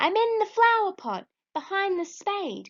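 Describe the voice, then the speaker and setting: In a put-on character voice, a woman speaks squeaky and at an extremely high pitch. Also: moderate pace. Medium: read story.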